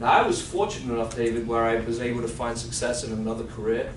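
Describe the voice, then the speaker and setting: Amid audible room echo and noticeable background noise, a man with a non-native accent talks at a fairly quick pace. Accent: foreign. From outside the US. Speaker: financial advisor and sales trainer. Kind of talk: sales role-play; training workshop.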